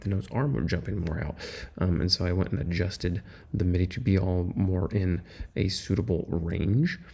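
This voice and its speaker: Soft-spoken and very deep in pitch, a man talks with lively intonation, a dark, mellow tone, and vocal fry. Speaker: music producer vlogger. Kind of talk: casual production vlog. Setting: at a friend's house at night.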